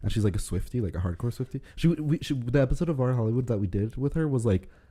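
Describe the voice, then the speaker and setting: A man speaks at a very fast pace with lively intonation, a medium pitch, a dark, mellow tone and a somewhat breathy quality. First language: Spanish. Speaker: podcast co-host. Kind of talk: casual chat.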